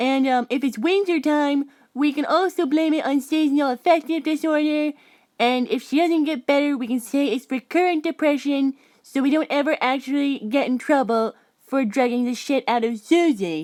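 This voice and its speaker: Using a put-on character voice, a woman speaks at a high pitch with ordinary pitch variation and a moderate pace on a very clean recording with a silent background. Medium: comedy sketch. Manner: eager, interrupting.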